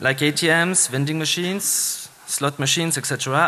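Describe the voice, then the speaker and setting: A man with a Swiss French accent speaks at a moderate pace and a fairly high pitch. There is noticeable background noise. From Switzerland (French-speaking). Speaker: security engineer, conference speaker. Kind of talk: conference talk. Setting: stage with audience. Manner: hesitant, many fillers.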